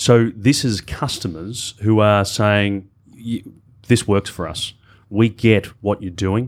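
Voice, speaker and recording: A man with an Australian accent speaks very slowly at a fairly low pitch with fairly even intonation. The recording is very clean with a silent background. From Australia, Melbourne. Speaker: corporate digital executive. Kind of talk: panel discussion.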